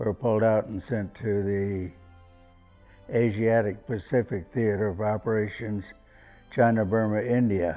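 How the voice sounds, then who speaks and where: Over music in the background, a man speaks at a fairly low pitch and a fairly slow pace, with fairly even intonation and long, frequent pauses. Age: 80s+. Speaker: war veteran. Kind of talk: interview answer.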